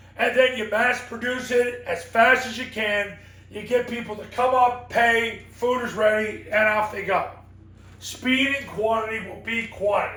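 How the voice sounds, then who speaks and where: A man speaks in a raised, projected voice at an extremely high pitch, moving at a fairly slow pace in a flat monotone with big swings in loudness. Audible room echo and noticeable background noise run through the recording. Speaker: football coaching consultant and sport psychologist. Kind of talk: motivational coaching talk.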